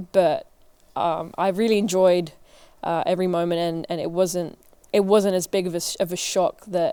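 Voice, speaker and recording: A woman's medium-pitched, dark and mellow voice holds a flat, monotone intonation at a moderate pace. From England, north London. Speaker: assistant strength coach, former college tennis player. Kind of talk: interview.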